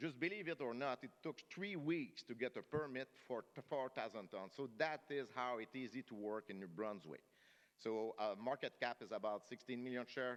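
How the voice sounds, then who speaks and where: A man speaks with a strong French-Canadian accent, a medium pitch and lively intonation. The sound is dry and close, with no echo. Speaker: mining company executive. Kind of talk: investor conference presentation. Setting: conference stage with audience. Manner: fast.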